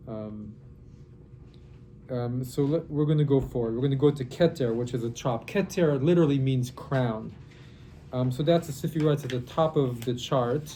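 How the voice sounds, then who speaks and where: A somewhat breathy, dark and mellow voice moves at a moderate pace with ordinary pitch variation and long, frequent pauses. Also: man, medium pitch for a man. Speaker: rabbi teaching a Kabbalah class. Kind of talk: lecture. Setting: classroom workshop, recorded for online. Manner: halting.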